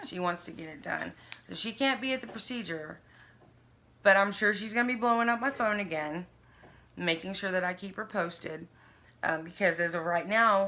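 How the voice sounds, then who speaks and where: With long, frequent pauses, a woman talks in an American accent, her tone bright and sharp and her loudness swinging widely. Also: medium pitch for a woman, ordinary pitch variation, moderate pace. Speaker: vlogger sharing health journey. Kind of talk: casual chat. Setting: sitting with a friend on camera.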